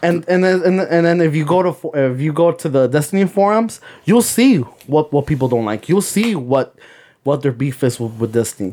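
A man's fairly high voice with a dark, mellow tone, lively intonation and a fairly quick pace. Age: 30s. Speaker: podcast co-host. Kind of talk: casual chat.

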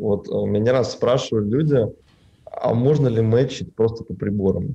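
Speaking at a fairly slow pace, a man with a medium pitch has a dark, mellow tone that is somewhat breathy. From Russia, Tatarstan (Naberezhnye Chelny). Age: 20s. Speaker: film colorist, studio owner. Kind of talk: casual interview.

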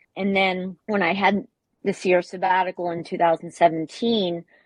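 At a moderate pace, a woman speaks with an American accent at a fairly low pitch, with little pitch movement. The sound is dry and close with no echo.

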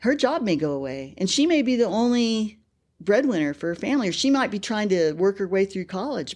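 A woman's voice at a moderate pace, with very wide pitch swings and a quiet background. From California, Bakersfield. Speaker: petroleum engineer. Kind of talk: interview.

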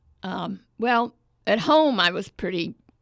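A woman with an American accent and vocal fry speaks at a fairly slow pace on a very clean recording with a silent background. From US South (Bible Belt). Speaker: storyteller. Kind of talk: storytelling performance; casual interview.

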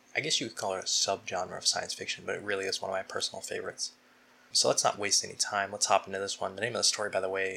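The delivery is an unforced reading voice.

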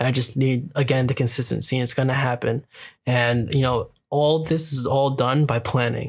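A man speaks in a monotone, flat intonation at a moderate pace, his loudness very even. His voice is somewhat breathy. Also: medium pitch for a man. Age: 20s. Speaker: podcast host. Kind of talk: casual solo monologue. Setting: recording on lunch break.

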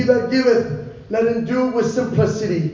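Over noticeable background noise, a man with an extremely high pitch talks at a moderate pace with lively intonation. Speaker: Bible teacher. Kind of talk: sermon.

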